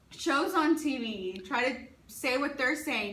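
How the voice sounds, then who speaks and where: A woman is speaking with ordinary pitch variation. Room echo is audible. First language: Spanish. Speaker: teacher. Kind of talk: interview. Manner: halting.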